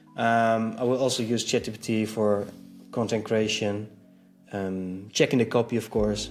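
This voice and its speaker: With music in the background, a man speaks at a moderate pace in a fairly low pitch, his intonation monotone and flat. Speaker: web designer, video creator. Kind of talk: casual vlog status update. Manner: halting, many fillers.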